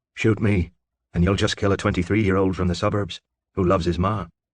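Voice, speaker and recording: A growling, put-on character voice from a man, very deep and low in pitch, very fast and monotone. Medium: read story. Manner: breezy, teasing.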